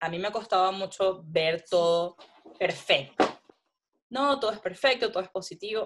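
Here is a woman with an unremarkable speaking voice. She talks at a moderate pace. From Venezuela. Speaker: food photographer. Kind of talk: interview.

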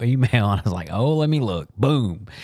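In a plain, everyday voice, a man speaks at a moderate pace and a medium pitch. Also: very clean recording, silent background. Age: 50s. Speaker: podcast host. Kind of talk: casual chat. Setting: studio.

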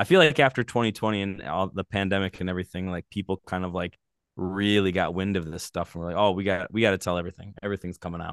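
A man talks very fast in a very deep, low voice with fairly even intonation. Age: 40s. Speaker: podcast host. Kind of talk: casual interview conversation.

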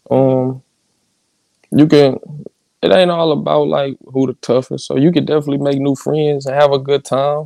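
Pausing long and often, a man speaks at a moderate pace with fairly even intonation. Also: fairly high pitch for a man. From St. Louis. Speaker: rapper. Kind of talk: casual interview.

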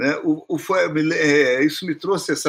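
A man talks at a fairly slow pace with a fairly high pitch. The recording is very clean, with a silent background. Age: 60s. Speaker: music professor and composer. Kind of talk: casual chat. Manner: halting.

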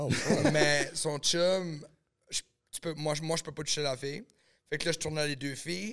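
Here a man has a plain, everyday voice with a fairly high pitch. He talks at a fairly slow pace with ordinary pitch variation. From New Brunswick, Canada (small village). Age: 30s. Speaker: adult film producer and actor. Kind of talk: casual podcast chat.

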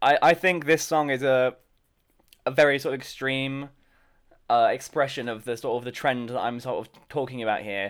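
An ordinary speaking voice from a man, fairly quick in pace, with fairly even intonation and big swings in loudness. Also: medium pitch for a man, very clean recording, silent background. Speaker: podcast co-host. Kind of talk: casual chat.

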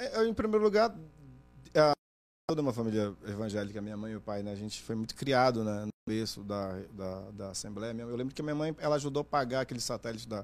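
At a fairly quick pace, a man talks in a medium pitch with ordinary pitch variation, a plain, everyday voice. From Brazil, Pará (Oriximiná), moved to Manaus at 15. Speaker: journalist and TV interviewer. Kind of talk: casual chat.

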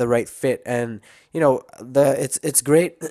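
The recording is very clean with a silent background, carrying a man's fairly high pitch and ordinary pitch variation. He has an ordinary speaking voice and keeps a moderate pace. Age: 20s. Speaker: youtuber. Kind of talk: casual monologue. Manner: casual, with many fillers.

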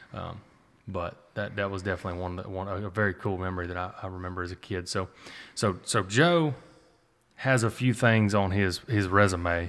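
A man speaks with a fairly low pitch in a normal speaking voice, at a fairly quick pace. The recording is very clean, with a silent background. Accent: American. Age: 20s. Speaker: podcast host and duck hunter. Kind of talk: casual conversational interview.

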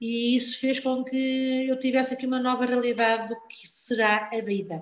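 A high-pitched woman's voice at a moderate pace. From Portugal, born in Lisbon. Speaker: health worker. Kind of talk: casual interview. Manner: repetitive, halting.

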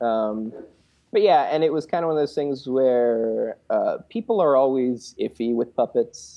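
With an American accent, a normal speaking voice moves at a fairly slow pace with lively intonation. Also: man, fairly high pitch for a man. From US Northeast. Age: 30s. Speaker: puppeteer and web series creator. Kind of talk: casual interview chat.

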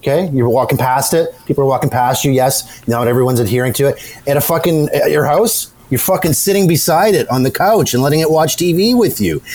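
Amid noticeable background noise, a man with a fairly high pitch and lively intonation talks at a fairly quick pace with very even loudness. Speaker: podcast co-host. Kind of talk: casual banter podcast. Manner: profane, animated.

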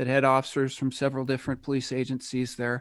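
In a very clean recording with a silent background, a man talks in an American accent. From United States. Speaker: retired police officer, Bitcoin hardware developer. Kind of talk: casual interview.

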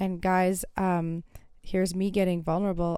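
A woman speaks in a dark, mellow tone. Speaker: podcast host. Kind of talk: solo monologue. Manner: chatty, filler-heavy.

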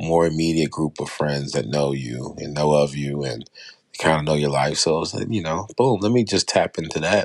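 A man's American-accented voice sits very deep and low in pitch, moving at a moderate pace with ordinary pitch variation. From Baltimore, US. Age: 40s. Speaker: podcast host. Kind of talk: solo podcast monologue, introduction episode. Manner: casual, unscripted, filler words, somewhat halting.

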